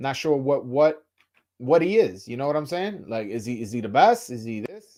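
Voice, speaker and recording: On a very clean recording with a silent background, a man with a fairly high pitch and a dark, mellow tone talks at a moderate pace with very wide pitch swings and big swings in loudness. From New York, Dominican heritage. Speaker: boxing YouTuber. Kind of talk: casual live stream chat. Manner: halting, frequent stammers and fillers.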